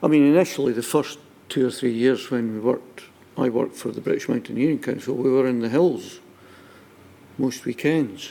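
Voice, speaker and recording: A dark, mellow tone in a Scottish accent, at a fairly quick pace with ordinary pitch variation. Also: man, medium pitch for a man. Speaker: witness at public inquiry. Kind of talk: testimony.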